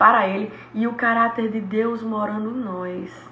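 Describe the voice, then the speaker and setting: This woman has a medium pitch and an animated tone with ordinary pitch variation. Noticeable background noise and audible room echo surround her voice. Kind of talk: Bible study teaching.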